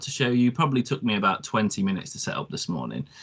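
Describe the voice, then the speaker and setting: A man with a British accent, medium pitch, very fast pace, and noticeable background noise. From UK. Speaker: product presenter. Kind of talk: webinar product demo. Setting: online webinar. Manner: hesitant, many ums.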